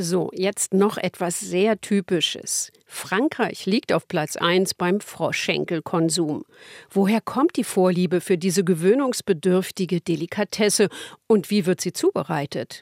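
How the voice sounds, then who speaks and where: Speaking at a fairly slow pace, a woman uses a plain, everyday voice with a medium pitch and ordinary pitch variation, captured as a dry, close sound with no echo. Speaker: radio host. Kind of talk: scripted narration. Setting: studio.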